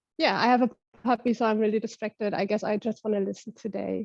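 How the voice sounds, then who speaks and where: With a German accent, a woman talks at a fairly quick pace in a dry, close sound with no echo. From Germany, Berlin suburbs. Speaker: facilitator of online circle. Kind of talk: casual group video chat.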